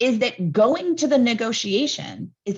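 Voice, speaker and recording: A woman talks with lively intonation. The background is quiet. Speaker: environmental policy campaigner. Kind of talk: webinar talk. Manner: loud; animated.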